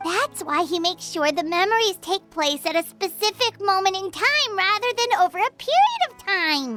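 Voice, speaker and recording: A put-on character voice at an extremely high pitch and moderate pace, with faint music in the background. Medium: fan dub. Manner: excitable, fast.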